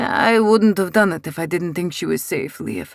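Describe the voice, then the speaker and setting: A man uses a put-on character voice, pitched high, at a moderate pace. The pitch variation is ordinary. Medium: read story. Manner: calm, controlled.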